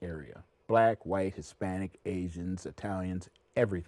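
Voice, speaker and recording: In a very clean recording with a silent background, a man with an American accent speaks slowly-ish at a fairly slow pace in a dark, mellow tone. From US Midwest, Milwaukee, Wisconsin. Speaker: actor and performer. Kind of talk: casual chat.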